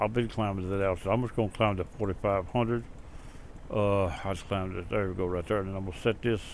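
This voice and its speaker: A man speaks at a fairly low pitch. His intonation is fairly even. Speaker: flight simulator video narrator. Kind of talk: tutorial. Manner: loud.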